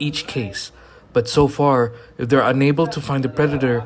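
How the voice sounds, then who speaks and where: A man is talking at a moderate pace. Background music plays behind him. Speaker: documentary filmmaker and presenter. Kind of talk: documentary narration with on-location vlogging.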